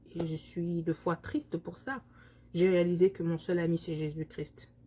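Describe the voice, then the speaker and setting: Somewhat breathy and fairly low-pitched, a woman talks at a moderate pace with a Congolese accent. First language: Lingala (speaking French). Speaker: vlogger. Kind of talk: personal vlog monologue. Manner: halting, many hesitations.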